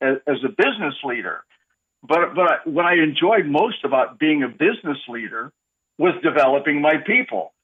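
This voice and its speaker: The speaker is a man with a fairly high pitch. He talks at a moderate pace with lively intonation. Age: 60s. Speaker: leadership coach. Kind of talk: radio interview. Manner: halting, many repeated words.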